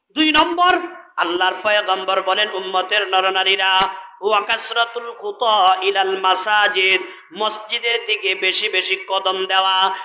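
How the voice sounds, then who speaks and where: A man's raised, projected voice, high-pitched for a man, at very even loudness over noticeable background noise. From Bangladesh, Noakhali. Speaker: Islamic preacher. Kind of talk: sermon. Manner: animated, calls for audience response.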